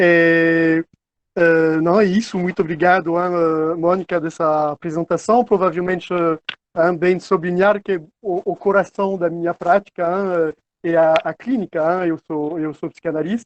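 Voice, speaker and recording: Here a man speaks with a non-native accent. His pitch is high and his intonation fairly even. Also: fairly slow pace. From France. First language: French (speaking Portuguese). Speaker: psychoanalyst. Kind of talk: online seminar talk. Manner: halting, many fillers.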